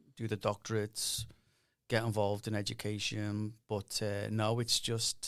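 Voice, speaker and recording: A man's medium-pitched, flat monotone at a moderate pace, on a very clean recording with a silent background. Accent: Liverpool. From northern England, Liverpool. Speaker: university dean. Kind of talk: podcast interview.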